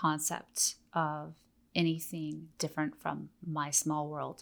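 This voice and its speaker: A woman speaks with an American accent in a very deep, low pitch. Her intonation is monotone and flat, and the recording is very clean with a silent background. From Oregon, US. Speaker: teacher and missionary. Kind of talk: interview, teaching talk.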